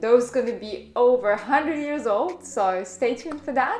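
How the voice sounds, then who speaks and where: A woman with a fairly high voice speaks with lively intonation over noticeable background noise. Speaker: food vlogger. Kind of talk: vlog narration. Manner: frequent filler hesitations.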